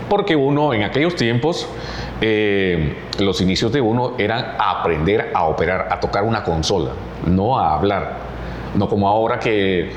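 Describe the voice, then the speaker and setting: The speech moves at a fairly slow pace with lively intonation. Room echo is audible, and background noise is noticeable. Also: man. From Honduras, Choluteca (south). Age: 60s. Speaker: radio announcer. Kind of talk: interview.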